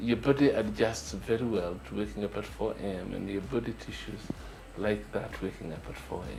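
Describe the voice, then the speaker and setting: A man talks at a moderate pace, and background noise is clearly noticeable. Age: 60s. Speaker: urologist and entrepreneur. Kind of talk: interview answer.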